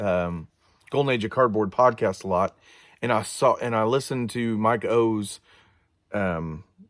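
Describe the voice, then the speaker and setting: A man's medium-pitched voice with ordinary pitch variation at a moderate pace, on a very clean recording with a silent background. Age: 40s. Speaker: card collecting youtuber. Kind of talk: casual show-and-tell vlog. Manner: halting, many fillers.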